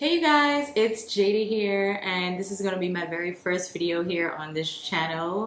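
The clip has light background noise and audible room echo. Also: woman. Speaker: food vlogger. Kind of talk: casual vlog chat. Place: home room. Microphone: camera far.

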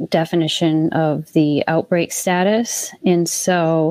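A dark, mellow voice moves at a very slow pace with ordinary pitch variation. The sound is dry with no echo over a quiet background. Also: woman. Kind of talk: meeting report. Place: home room.

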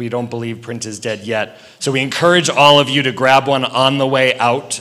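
Noticeable background noise sits under this recording. A man speaks over it at a fairly quick pace. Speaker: event organizer. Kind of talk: event introduction. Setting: stage with audience.

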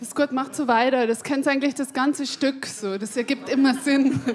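A woman speaks with a Bavarian accent and ordinary pitch variation. Light background noise can be heard. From Upper Palatinate, Bavaria. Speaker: stand-up comedian. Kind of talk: stand-up comedy routine. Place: stage. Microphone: handheld.

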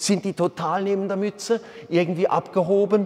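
A man speaks, keeping a moderate pace. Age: 50s. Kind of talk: sermon. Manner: animated; hesitant fillers. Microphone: lapel.

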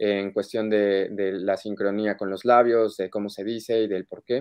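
In a quiet setting, a man delivers his words at a fairly slow pace. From Mexico City. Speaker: voice actor. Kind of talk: interview. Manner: halting. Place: home room. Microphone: video call.

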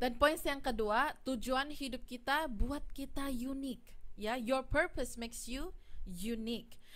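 A woman's high voice with ordinary pitch variation at a fairly slow pace. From Malaysia, Ipoh; Malaysia. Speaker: preacher. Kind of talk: sermon. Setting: livestreamed church service. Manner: halting, many fillers. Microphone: studio mic.

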